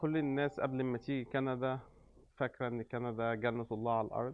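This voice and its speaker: A man's voice at medium pitch, moderate pace and fairly even intonation. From Egypt. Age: 30s. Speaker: restaurant owner, immigrant. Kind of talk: interview. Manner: hesitant with many fillers.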